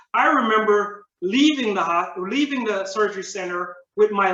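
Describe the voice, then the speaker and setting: Using a raised, projected voice with high pitch and ordinary variation, a man speaks at a fairly slow pace amid audible room echo. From Jamaica. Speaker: public speaking club member. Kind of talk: prepared speech.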